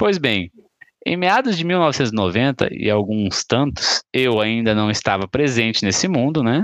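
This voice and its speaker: A man with medium pitch speaks at a fairly slow pace in a normal speaking voice, with lively intonation and very even loudness. The sound is dry and close with no echo. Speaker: podcast host. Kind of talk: casual chat.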